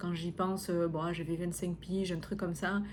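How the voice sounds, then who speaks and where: A woman speaks at a moderate pace with a somewhat breathy voice. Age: 30s. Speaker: podcast host and coach. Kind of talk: personal podcast monologue. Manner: hesitant, many fillers.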